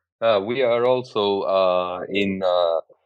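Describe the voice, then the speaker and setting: A man speaks with a Greek accent. His pitch is fairly low. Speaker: podcast host. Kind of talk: casual interview chat.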